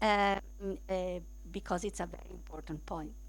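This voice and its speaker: A woman speaks at a fairly slow pace, with room echo audible. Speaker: law lecturer. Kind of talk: lecture. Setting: lecture room with streaming. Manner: halting.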